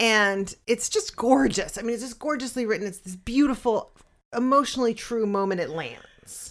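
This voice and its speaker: In an unremarkable speaking voice, the speaker keeps a moderate pace and ordinary pitch variation, with big swings in loudness on a very clean recording with a silent background. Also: woman, fairly high pitch for a woman. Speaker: podcast co-host and writing teacher. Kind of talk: casual chat.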